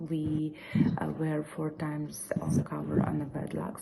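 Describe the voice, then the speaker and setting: Noticeable background noise runs beneath talking at a moderate pace. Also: woman. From Ukraine. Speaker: florist, business owner. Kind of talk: recorded video presentation. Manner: halting, many fillers.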